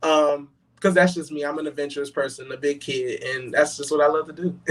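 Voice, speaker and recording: Speaking quickly with an American accent, a man with a fairly high voice keeps a monotone, flat intonation. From Brooklyn, New York, then Charlotte, North Carolina. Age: 20s. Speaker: gospel singer. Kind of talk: interview. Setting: live online show. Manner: fast at times.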